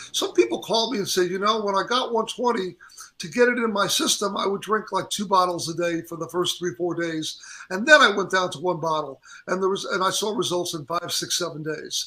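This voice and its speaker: A man with a high voice for a man, raised and projected, bright and sharp in tone, ordinary pitch variation, at a fairly quick pace. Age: 60s. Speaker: drink company founder and musician. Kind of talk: interview. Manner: halting, many false starts.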